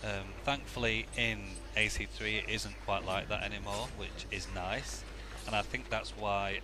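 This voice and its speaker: A man speaks fairly slowly. Behind him, music is playing. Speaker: gamer. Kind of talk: gameplay commentary. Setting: poor microphone. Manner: quiet.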